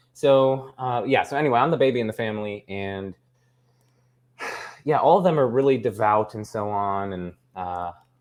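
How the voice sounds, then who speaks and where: A man at a medium pitch with ordinary pitch variation, big swings in loudness, long, frequent pauses and a quiet background. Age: 20s. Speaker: philosophy YouTuber. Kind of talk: casual interview chat. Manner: fast; halting, many fillers.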